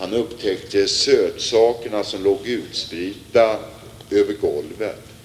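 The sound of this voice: Someone reads in an unforced reading voice.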